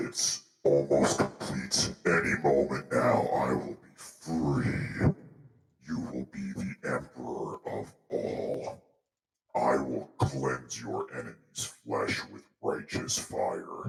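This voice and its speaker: Using a put-on character voice, a man booms in a very deep, low, raspy tone at a very slow pace, with clear echo around him. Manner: menacing.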